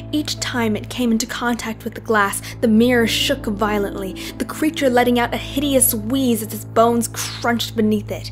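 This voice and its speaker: The speech moves at a moderate pace with hardly any pauses. Music plays in the background. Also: woman. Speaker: amateur narrator. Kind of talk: horror story reading.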